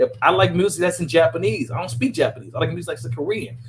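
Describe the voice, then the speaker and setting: This man has an American accent and an animated tone. His intonation is lively. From New Orleans, Louisiana. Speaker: podcast host. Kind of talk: casual group chat. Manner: animated, repeats words and restarts.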